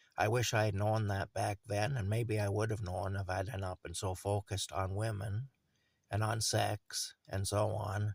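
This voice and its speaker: A man's somewhat breathy, fairly low-pitched voice with a Canadian accent, fairly even intonation and a moderate pace, in a very clean recording with a silent background. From Ontario, Canada. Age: 50s. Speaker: vlogger. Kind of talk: personal video monologue. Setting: cold camper in a field. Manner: halting, with fillers.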